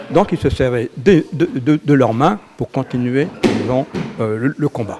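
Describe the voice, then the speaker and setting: A man's fairly high voice at a fairly slow pace, with noticeable background noise. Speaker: jujitsu instructor. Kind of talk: interview. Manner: hesitant, many fillers.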